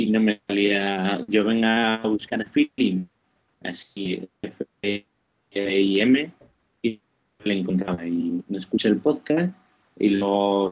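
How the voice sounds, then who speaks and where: A man with a fairly low voice speaks very slowly, with ordinary pitch variation. His speech has long, frequent pauses. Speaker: podcast newcomer, gamer. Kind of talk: casual chat. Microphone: poor connection, sounds strange.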